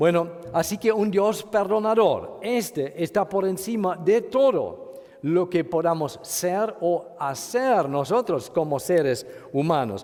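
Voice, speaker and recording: A man talks at a very slow pace in a high pitch, with very even loudness. Noticeable background noise is present. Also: ordinary pitch variation. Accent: German. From Germany. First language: German (speaking Spanish). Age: 50s. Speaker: pastor. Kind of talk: sermon. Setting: church retreat. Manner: halting.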